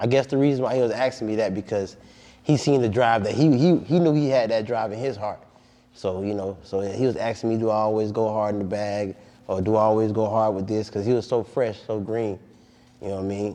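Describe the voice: Fairly low in pitch, a man talks at a fairly quick pace with a dark, mellow tone and fairly even intonation.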